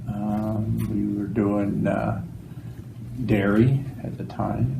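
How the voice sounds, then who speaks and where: With an Ontario accent, a man speaks very slowly at a fairly low pitch with ordinary pitch variation. Noticeable background noise and audible room echo fill the recording. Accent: Canadian (Ontario). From Ontario, Claremont area. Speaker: farmer. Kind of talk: oral history interview. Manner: halting, many fillers.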